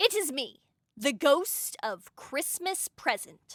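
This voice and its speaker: Doing a put-on character voice, a woman speaks very slowly at a high pitch with very wide pitch swings, on a very clean recording with a silent background. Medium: read story. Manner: solemn, reproachful.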